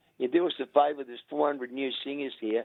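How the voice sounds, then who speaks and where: A man with an Australian accent speaks with fairly even intonation. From Australia, rural Victoria. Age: 70s. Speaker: veteran singer. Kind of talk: interview. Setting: phone call.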